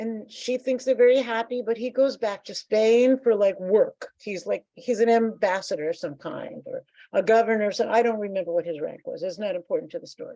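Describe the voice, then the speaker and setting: With an American accent, a woman talks at a fairly quick pace with hardly any pauses, her fairly high voice carrying a dark, mellow tone, ordinary pitch variation and big swings in loudness in a dry, close sound with no echo. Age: 70s. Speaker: composer. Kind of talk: interview. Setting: video call. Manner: animated.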